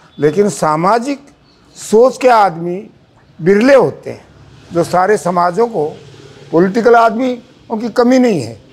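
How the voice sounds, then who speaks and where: Pausing long and often, a man speaks in a high voice with lively intonation. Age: 90s. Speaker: community association president. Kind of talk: birthday tribute speech.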